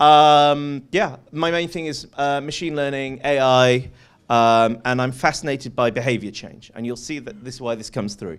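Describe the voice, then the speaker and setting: A man with a British accent speaks at a moderate pace and a medium pitch. His pitch varies in an ordinary way, and the recording is very clean with a silent background. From UK. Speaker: venture capitalist and conference speaker. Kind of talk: conference talk. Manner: lively, conversational with many fillers.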